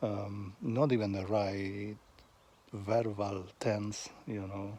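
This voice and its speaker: In a Spanish accent, a man speaks at a very slow pace and a fairly low pitch, with a dark, mellow tone and monotone, flat intonation. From Argentina, Buenos Aires. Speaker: vlogger. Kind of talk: casual monologue. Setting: outdoors on a walk. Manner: halting, with pauses.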